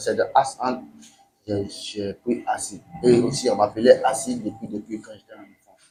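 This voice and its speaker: Speaking at a fairly slow pace, a man lets his loudness swing widely. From Benin, Nigerian family. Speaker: musician. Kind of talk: interview. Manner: halting, repetitive phrasing.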